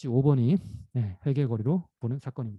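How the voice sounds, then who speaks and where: A man's somewhat breathy, dark and mellow voice at a fairly quick pace, with ordinary pitch variation and a dry, close sound with no echo. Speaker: professor. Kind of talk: lecture. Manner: fast.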